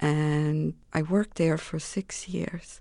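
Against a quiet background, a woman talks with a Romanian accent. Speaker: political refugee, former English teacher. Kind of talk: interview testimony.

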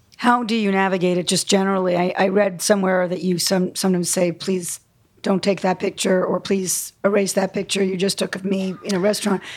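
A woman speaks in a monotone, flat delivery at a fairly quick pace, with medium pitch. The recording is very clean, with a silent background. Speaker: interviewer. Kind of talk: live interview. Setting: stage with audience.

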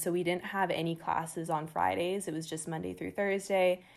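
A woman with an American accent speaks at a fairly quick pace, her fairly low pitch showing ordinary variation. The recording is very clean, with a silent background. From San Diego, California. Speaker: university student. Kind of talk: casual interview.

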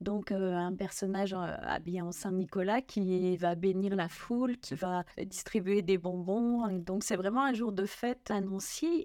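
Here a woman speaks at a very slow pace. Her tone is dark and mellow. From Lorraine, France (Nancy). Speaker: magazine editor and author. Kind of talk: interview about religious history.

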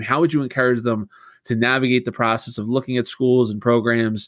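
In a very clean recording with a silent background, a man with a plain, everyday voice speaks at a medium pitch and a moderate pace, his intonation fairly even. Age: 30s. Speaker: podcast host. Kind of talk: interview.

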